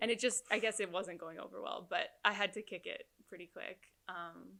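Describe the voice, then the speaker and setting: A woman talks at a moderate pace with big swings in loudness. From Canada, Winnipeg. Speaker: hypnotherapist. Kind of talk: interview. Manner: casual, hesitant fillers.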